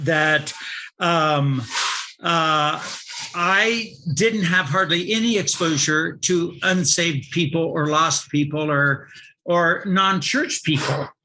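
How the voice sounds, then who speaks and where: Delivered at a very slow pace with very even loudness and ordinary pitch variation, the speech carries audible room echo. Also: man, fairly high pitch for a man. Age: 60s. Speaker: pastor. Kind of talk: sermon. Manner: halting.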